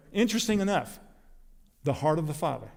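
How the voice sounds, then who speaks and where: There is audible room echo around this voice. A man speaks with an American accent and lively intonation. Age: 60s. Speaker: preacher. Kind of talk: sermon.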